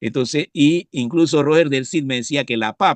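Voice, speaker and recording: Medium in pitch with ordinary variation, a man talks at a fairly quick pace in a dry, close sound with no echo. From Panama, Coclé province (La Pintada). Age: 60s. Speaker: professor and biologist, pesticide specialist. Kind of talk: interview. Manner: halting, frequent fillers and repetitions.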